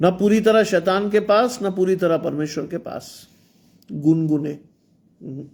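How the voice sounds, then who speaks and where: Recorded very cleanly against a silent background, a man talks at a very slow pace in a high voice with ordinary pitch variation. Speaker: preacher. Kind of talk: sermon. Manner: animated.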